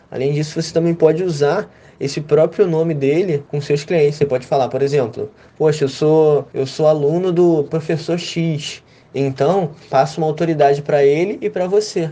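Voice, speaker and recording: At a moderate pace, the voice has a dark, mellow tone and fairly even intonation. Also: man, fairly high pitch for a man. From Brazil, Rio de Janeiro. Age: 20s. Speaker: social media manager. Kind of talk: interview.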